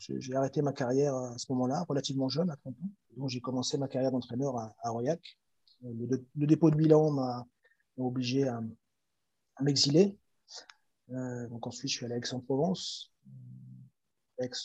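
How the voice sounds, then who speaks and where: With a dark, mellow tone and a somewhat breathy quality, a man speaks with long, frequent pauses, big swings in loudness and ordinary pitch variation. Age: 40s. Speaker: handball coach and former pro player. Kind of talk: interview. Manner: hesitant, many fillers and repetitions.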